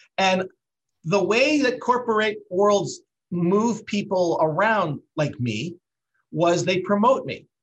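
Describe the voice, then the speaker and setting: Against background music, a man with a Canadian accent speaks very slowly at a high pitch, his intonation lively. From Canada (Brantford, Ontario). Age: 50s. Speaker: business founder. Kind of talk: interview.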